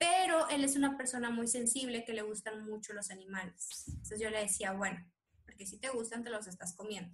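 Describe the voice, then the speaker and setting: With ordinary pitch variation, an ordinary speaking voice talks at a fairly quick speed. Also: woman. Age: 20s. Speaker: doctor. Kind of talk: interview.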